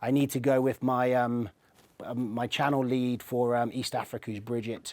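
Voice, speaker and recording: In an English accent, a man speaks at a moderate pace and medium pitch, with monotone, flat intonation. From England, Swindon. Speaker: technology channel manager. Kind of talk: interview.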